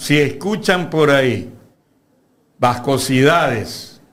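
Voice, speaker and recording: A man's lively intonation with audible room echo. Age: 70s. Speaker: lawyer and university lecturer. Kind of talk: political interview. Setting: studio.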